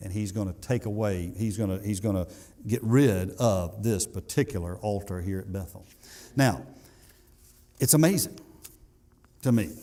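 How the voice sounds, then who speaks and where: In a Southern US accent, a man speaks with a dark, mellow tone, fairly low pitch and ordinary pitch variation, with audible room echo. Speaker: pastor. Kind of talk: sermon. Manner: fast.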